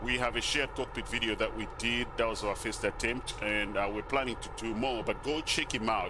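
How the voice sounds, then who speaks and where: A man talks with a non-native accent. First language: not English. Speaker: flight sim YouTuber. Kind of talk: casual gameplay commentary. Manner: casual, halting with fillers.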